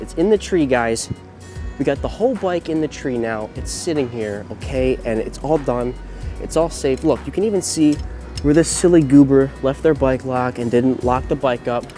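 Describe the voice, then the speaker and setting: A man keeps to a moderate pace while music plays in the background. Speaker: college student. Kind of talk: humorous how-to video to camera.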